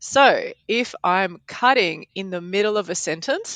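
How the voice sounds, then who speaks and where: Recorded dry and close with no echo, a woman speaks with ordinary pitch variation. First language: Polish. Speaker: podcast editor and language teacher. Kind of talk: casual chat.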